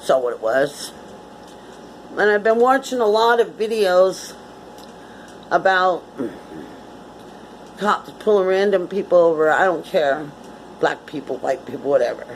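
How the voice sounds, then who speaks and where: A woman with an American accent talks at a fairly slow pace and a medium pitch, her voice swinging very widely up and down. She leaves long, frequent pauses, and noticeable background noise runs underneath. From Connecticut, US. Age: 60s. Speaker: vlogger. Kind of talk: casual monologue.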